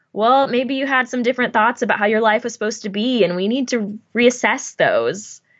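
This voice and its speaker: Speaking at a fairly quick pace with hardly any pauses, a woman has a plain, everyday voice, a fairly high pitch and fairly even intonation. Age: 20s. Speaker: laughter yoga instructor and business owner. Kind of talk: casual interview.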